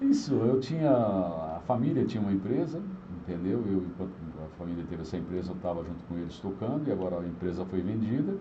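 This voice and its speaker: A man's very deep, low voice with lively intonation at a very fast pace, with audible room echo. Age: 60s. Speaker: radio broadcaster and former city councillor. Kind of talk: casual interview.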